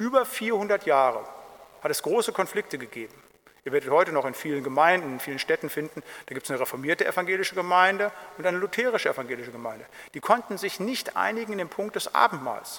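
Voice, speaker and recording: A man's high-pitched, bright, sharp voice at a very fast pace, with very wide pitch swings and big swings in loudness. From Germany, Siegerland. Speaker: pastor. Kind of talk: Bible study lecture.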